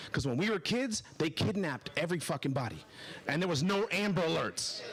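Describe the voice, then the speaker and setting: The speaker has an animated tone with very wide pitch swings. Noticeable background noise runs underneath. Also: man. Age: 40s. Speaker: stand-up comedian. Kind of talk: stand-up. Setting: stage with audience.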